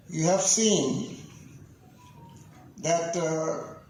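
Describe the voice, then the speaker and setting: Noticeable background noise fills this recording. A man's voice carries audible room echo. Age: 70s. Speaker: senior club member, chief guest. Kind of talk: ceremony speech. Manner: halting.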